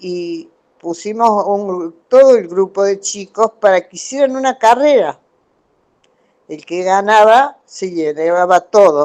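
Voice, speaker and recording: Speaking very slowly, a woman with a medium-pitched voice varies a lot in loudness. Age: 80s+. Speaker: student in a class. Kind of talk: testimony. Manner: halting.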